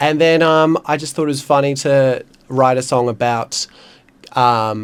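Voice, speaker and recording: Fairly even intonation runs through speech delivered at a fairly slow pace. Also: man, fairly high pitch for a man. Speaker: singer-songwriter. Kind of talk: casual interview chat. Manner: hesitant, many fillers.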